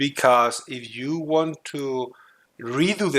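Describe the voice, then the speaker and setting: A man with a non-native accent speaks in a fairly high, bright, sharp voice. The recording is very clean, with a silent background. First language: not English. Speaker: gaming tutorial youtuber. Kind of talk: tutorial. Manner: halting, frequent fillers.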